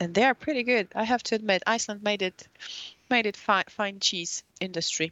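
With a Polish accent, a woman speaks at a fairly quick pace. Her medium pitch shows ordinary variation. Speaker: journalist. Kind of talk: casual chat. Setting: studio. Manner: halting.

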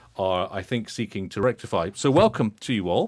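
A man with a British accent. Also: very clean recording, silent background. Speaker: podcast host. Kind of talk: interview. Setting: studio.

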